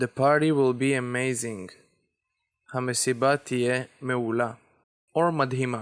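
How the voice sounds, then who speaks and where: Very slowly and with long, frequent pauses, a man speaks at medium pitch with fairly even intonation and very even loudness. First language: Hebrew. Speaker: language teacher. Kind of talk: tutorial.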